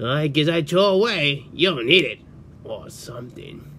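A man performs a put-on character voice at a fairly high pitch and moderate pace. Clear background noise can be heard. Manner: scornful, exasperated.

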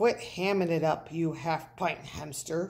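A growling, put-on character voice at a middle pitch, speaking at a fairly slow pace. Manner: snarling, bossy.

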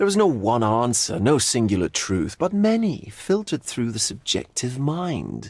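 A man puts on a character voice at a medium pitch, with big pitch swings, a slightly mellow tone, a slightly husky edge and a fairly slow pace.

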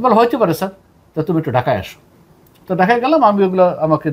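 Lively intonation marks a man's high-pitched voice. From Bangladesh. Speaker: retired navy officer; interview guest. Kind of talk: interview. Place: studio. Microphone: lapel.

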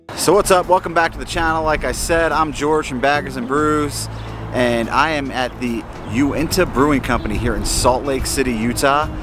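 A man talks at a moderate pace with ordinary pitch variation over noticeable background noise. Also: dry sound with no echo. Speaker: beer vlogger. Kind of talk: casual vlog chat. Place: street. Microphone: phone near.

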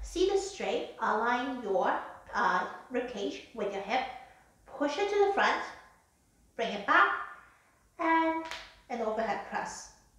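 A woman with a high pitch talks at a very slow pace, her pitch swinging very widely. Long, frequent pauses break up her speech, and strong room echo fills the recording. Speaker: fitness instructor. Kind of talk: live exercise demonstration with spoken instructions. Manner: clear, instructional, measured pace with occasional 'um' fillers; calm, even, step-by-step cueing. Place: home room. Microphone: camera far.

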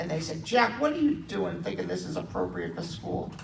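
A man is heard with noticeable background noise behind him. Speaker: stand-up comedian. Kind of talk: stand-up comedy set with audience laughter. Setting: stage with audience. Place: hall.

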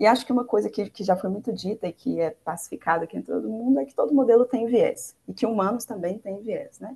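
The voice runs at a very fast pace, dark and mellow in tone with vocal fry and ordinary pitch variation. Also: woman, fairly high pitch for a woman. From Brazil. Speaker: machine learning engineer; panelist. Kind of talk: presentation; panel talk. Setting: video call. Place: home room. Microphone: earbuds.

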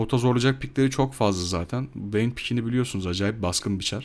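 The speaker is a man with a medium-pitched voice. He talks at a moderate speed, and his pitch moves in an ordinary way. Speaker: gaming YouTuber. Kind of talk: gameplay commentary voiceover. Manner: casual, hesitant with fillers.

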